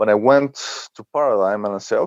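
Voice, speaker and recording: Recorded dry and close with no echo over a quiet background, a man speaks with a Spanish accent. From Mexico. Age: 40s. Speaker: blogger and author. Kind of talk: podcast interview. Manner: halting, with many fillers.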